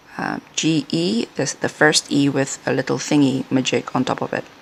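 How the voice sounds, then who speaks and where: Noticeable background noise accompanies a woman speaking with a non-native accent. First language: not English. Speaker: playing card reviewer. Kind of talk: product review with reading aloud. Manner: halting, many fillers.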